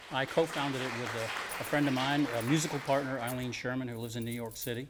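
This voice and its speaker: A man's medium-pitched voice moves at a fairly quick pace. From US South (Alabama/Florida panhandle), moved to Rhode Island at ten. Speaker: musician. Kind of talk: interview.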